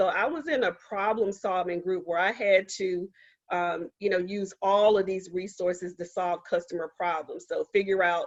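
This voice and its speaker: A woman with an American accent, an ordinary speaking voice at medium pitch, fairly even intonation and a moderate pace. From Eastern North Carolina, Goldsboro. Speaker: scientist and STEM policy advisor giving a seminar. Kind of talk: seminar talk. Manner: frequent fillers (um, uh).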